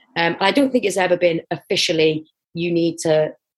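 A woman with a North Welsh accent talks at a fairly low pitch with fairly even intonation. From North Wales, Wrexham area. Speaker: international netball and football player. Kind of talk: interview.

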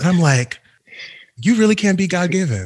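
A man speaks at a moderate pace with lively intonation and a somewhat breathy voice. The background is quiet. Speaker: podcast host. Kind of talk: casual interview chat.

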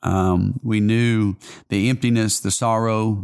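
A man talks with a Southern US accent. His pitch is fairly low. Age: 40s. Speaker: pastor. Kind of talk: casual interview.

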